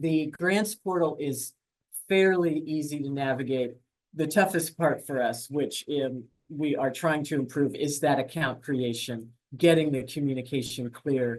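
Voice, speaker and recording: Speaking at a fairly slow pace, a man uses a normal speaking voice with fairly high pitch and ordinary pitch variation. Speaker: grants staff presenter. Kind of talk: webinar presentation. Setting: online webinar.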